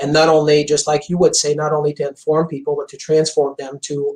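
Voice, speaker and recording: A man speaks at a fairly quick pace with a fairly high pitch and a Quebec accent. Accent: French Canadian accent in English. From Quebec, Montreal. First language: French. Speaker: chiropractor. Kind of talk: interview. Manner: intense.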